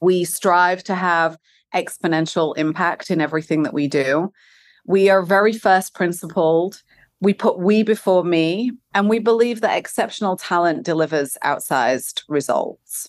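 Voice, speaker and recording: A woman speaks at a moderate pace with a non-native accent. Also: fairly low pitch for a woman, ordinary pitch variation. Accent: non-Californian, foreign-sounding. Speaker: company executive, head of human resources. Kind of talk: interview. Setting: remote recording.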